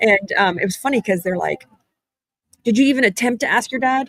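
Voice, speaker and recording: A woman speaks in a normal speaking voice with lively intonation. The sound is dry and close, with no echo. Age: 40s. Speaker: podcast host and business owner. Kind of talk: casual live-stream chat. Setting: live stream at a conference. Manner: fast, filler-heavy.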